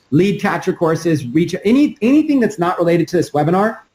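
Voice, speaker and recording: A man with a high pitch speaks at a very fast pace. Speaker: online marketing trainer. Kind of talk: webinar training. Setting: live webinar with screen share.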